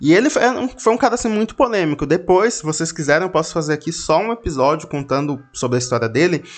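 The speaker goes at a very fast pace with hardly any pauses. The pitch swings very widely. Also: man, high pitch for a man. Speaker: podcast host. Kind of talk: casual storytelling monologue.

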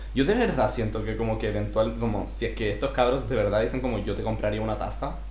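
A man talks at a very fast pace with a Chilean accent and hardly any pauses. Audible room echo and noticeable background noise surround him. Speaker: podcast co-host. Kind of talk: casual chat. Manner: animated.

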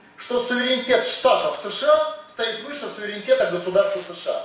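The speech moves at a fairly quick pace with ordinary pitch variation, over noticeable background noise and audible room echo. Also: man. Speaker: politician. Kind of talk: interview. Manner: forceful, rally-like.

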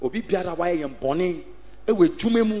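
Over noticeable background noise, a man speaks with an animated tone and lively intonation at a moderate pace. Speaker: preacher. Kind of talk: sermon. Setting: church with congregation. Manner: animated, call-and-response preaching; loud, exhorting, rhythmic repetition.

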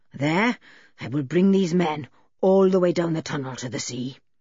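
A man's hoarse, high-pitched put-on character voice at a moderate pace

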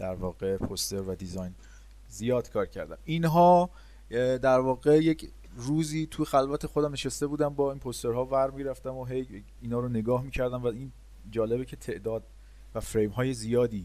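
A man talks at a fairly quick pace with a medium pitch. His tone is dark and mellow, and his pitch varies in an ordinary way. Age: 30s. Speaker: motion graphics designer. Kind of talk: interview. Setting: remote call.

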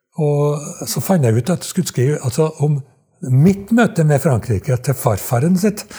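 At a moderate pace, a man speaks with a fairly high pitch and lively intonation. His tone is dark and mellow, and his loudness stays very even. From Trøndelag, Norway (Skogn). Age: 80s+. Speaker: retired dialect researcher. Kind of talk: interview storytelling. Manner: halting, many repetitions.

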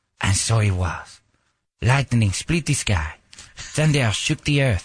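A man whispers in a raspy, put-on character voice at a fairly slow pace and very even loudness. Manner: whispering.

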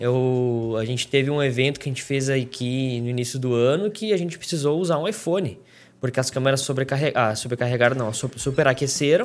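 The recording is very clean, with a silent background. A man speaks at a medium pitch and a fairly quick pace, with ordinary pitch variation. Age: 20s. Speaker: podcast host, videographer. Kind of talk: solo podcast monologue. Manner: hesitant, many fillers.

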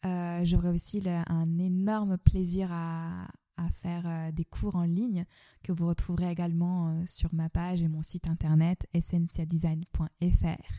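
Delivered at a very slow pace, the voice has a dark, mellow tone and monotone, flat intonation, with a dry, close sound that carries no echo. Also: woman, fairly low pitch for a woman. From Turkey, Istanbul. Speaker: artist and yoga teacher. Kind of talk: interview. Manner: hesitant, many fillers.

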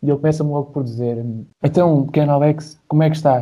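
A man's dark, mellow, somewhat breathy voice in a European Portuguese accent, at a very fast pace. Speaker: university student. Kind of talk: casual chat. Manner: animated.

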